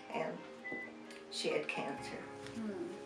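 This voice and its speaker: A woman speaking at a very slow pace over clear background music. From Nebraska. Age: 80s+. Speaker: interviewee. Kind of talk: interview answer. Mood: emotional, reminiscing. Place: home room.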